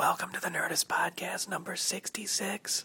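The speaker uses a raspy, put-on character voice at a moderate pace. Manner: whispering.

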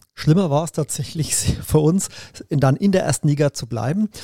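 At a moderate pace, a man with a fairly high pitch speaks in a dark, mellow, somewhat breathy tone with lively intonation. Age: 50s. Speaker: triathlete and teacher. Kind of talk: casual interview. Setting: studio couch.

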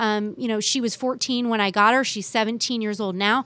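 A woman speaks with an American accent in a plain, everyday voice, fairly high in pitch with ordinary variation. The recording is very clean, with a silent background. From US West Coast, San Francisco Bay Area. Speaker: TV reporter. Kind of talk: casual interview.

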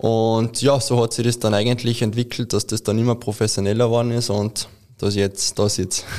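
A man talks at a moderate pace and a medium pitch. His delivery is monotone and flat, with very even loudness. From Austria, Carinthia. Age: 20s. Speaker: ski mountaineering athlete. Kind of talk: interview.

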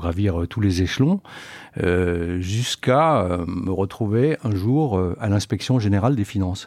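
A man with a very deep, low pitch speaks at a very slow pace with ordinary pitch variation. The recording is very clean, with a silent background and a dry, close sound without echo. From France, Lorraine (Metz). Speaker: company executive. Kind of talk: interview. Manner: hesitant with fillers.

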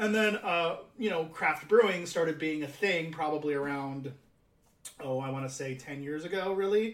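This is a man with an unremarkable speaking voice and an American accent. He speaks at a moderate pace with a fairly high pitch and ordinary pitch variation. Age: 30s. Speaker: podcast host. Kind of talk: casual chat.

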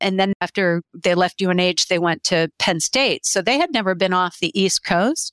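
A woman's ordinary speaking voice, an ordinary speaking voice at medium pitch, moderate pace, very even loudness, ordinary pitch variation and hardly any pauses, dry and close with no echo, on a very clean recording with a silent background. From grew up overseas, born in Pennsylvania. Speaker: business owner in translation services. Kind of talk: interview conversation.

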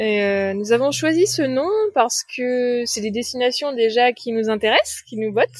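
A woman speaks at a high pitch. The recording is dry and close, with no echo. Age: 30s. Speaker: sailor, liveaboard traveller. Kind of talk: interview.

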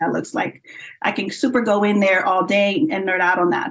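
With an American accent, a woman of medium pitch speaks in a normal speaking voice with ordinary pitch variation. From Florida, US. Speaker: breakdancer and commentator. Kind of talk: interview.

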